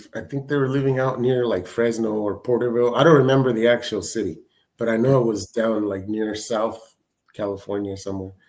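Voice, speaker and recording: A man in a Spanish accent at medium pitch and a fairly quick pace, with fairly even intonation. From Mexico (Michoacán), raised from age six in the San Francisco Bay Area. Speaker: podcast guest sharing life story. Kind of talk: casual interview storytelling. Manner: halting, many repetitions.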